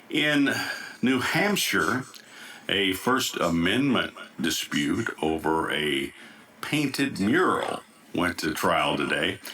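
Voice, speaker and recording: A man at medium pitch with an American accent, very slow with long, frequent pauses, very wide pitch swings and very even loudness, over noticeable background noise. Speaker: news anchor. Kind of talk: news broadcast.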